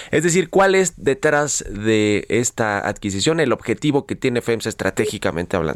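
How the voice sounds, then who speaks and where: A man with an ordinary speaking voice talks at a medium pitch and a moderate pace. The very clean recording has a silent background and a dry, close sound with no echo. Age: 30s. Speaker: radio business host. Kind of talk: radio show hosting. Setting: radio studio.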